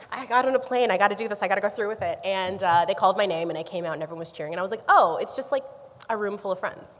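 With noticeable background noise, a woman with a Canadian accent talks at a very fast pace, her medium pitch showing ordinary variation. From Canada, Niagara Falls area. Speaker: actor. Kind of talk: casual chat. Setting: live event with audience.

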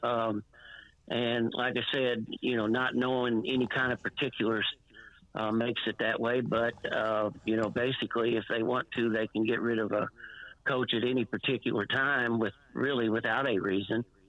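A man speaks in a monotone with flat intonation. His loudness stays very even. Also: medium pitch for a man, moderate pace. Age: 60s. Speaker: former high school basketball and softball coach. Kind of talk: phone interview on radio. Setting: phone call. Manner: halting, rambling, with many fillers.

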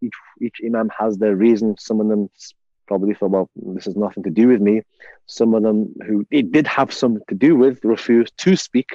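In a Liverpool accent, a man talks at a fairly quick pace with a fairly low pitch, ordinary pitch variation and a dark, mellow tone, in a dry, close sound with no echo. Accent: Liverpool (Scouse) English. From England, Liverpool. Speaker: imam and university chaplain. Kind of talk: interview storytelling. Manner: halting, many fillers.

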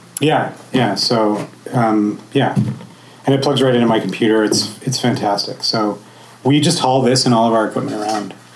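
A man talks at a medium pitch against noticeable background noise. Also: very even loudness. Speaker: podcaster, co-host. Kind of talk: panel talk.

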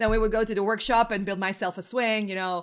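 A woman in a Croatian accent at a fairly quick pace. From Croatia, Zagreb. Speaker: web performance engineer. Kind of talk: interview. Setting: remote call from home.

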